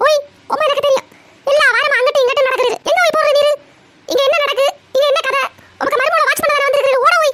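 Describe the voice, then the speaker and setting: A squeaky, cartoonish character voice at a very fast pace, with very even loudness. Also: woman, extremely high pitch for a woman. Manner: scolding, sarcastic.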